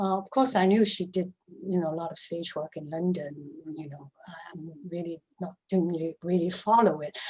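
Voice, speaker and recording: Somewhat breathy and fairly low in pitch, a woman speaks at a moderate pace with ordinary pitch variation and big swings in loudness. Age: 70s. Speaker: actress. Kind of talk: casual chat. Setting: video call. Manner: halting.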